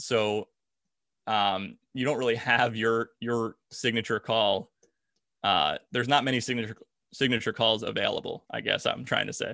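A man with an American accent speaks at a moderate pace and medium pitch, with vocal fry, a bright, sharp tone and fairly even intonation, in a very clean recording with a silent background and a dry, close sound with no echo. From South Jersey, US. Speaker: sports play-by-play broadcaster. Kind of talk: casual interview.

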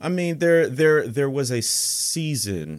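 On a very clean recording against a silent background, a man talks with an American accent. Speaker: historian and author. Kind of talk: conversational interview.

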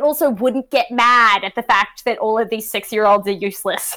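A woman speaks with an Australian accent in a very clean recording with a silent background. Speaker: sports media podcaster.

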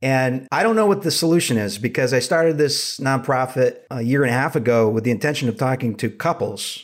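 In a normal speaking voice with an American accent, the speaker moves at a fairly quick pace with lively intonation. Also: man. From US Northeast, Rhode Island. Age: 30s. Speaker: therapist. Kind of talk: casual interview.

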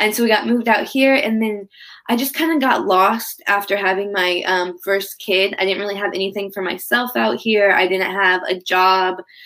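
At medium pitch with a bright, sharp tone, a woman talks at a moderate pace with hardly any pauses and ordinary pitch variation, in a very clean recording with a silent background. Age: 20s. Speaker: yoga instructor and personal trainer. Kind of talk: casual chat.

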